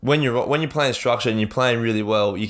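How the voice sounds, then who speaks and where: This man has an Australian accent. His pitch sits fairly low. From Central Queensland, Australia. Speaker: sports podcast co-host and player. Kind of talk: casual chat. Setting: home podcast studio.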